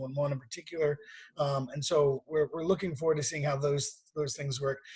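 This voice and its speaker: This man's voice is somewhat breathy and fairly high in pitch. He talks at a fairly quick pace in a monotone, flat intonation. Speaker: nonprofit executive. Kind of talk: online meeting briefing. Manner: fast.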